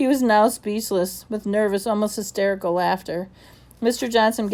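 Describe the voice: Someone reads aloud in a plain way.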